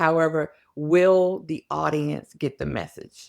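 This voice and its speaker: In a very deep, low pitch, a woman speaks with monotone, flat intonation on a very clean recording with a silent background. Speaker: psychologist or workplace expert, speaker. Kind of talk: podcast interview.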